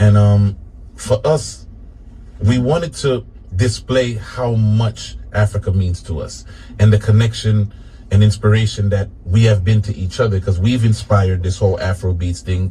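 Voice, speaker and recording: A man talks at a moderate pace in a fairly low voice with ordinary pitch variation. Noticeable background noise runs behind him. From New England. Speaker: reggae musician. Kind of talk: radio interview.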